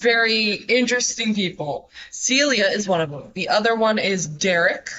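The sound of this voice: The clip features an unforced reading voice.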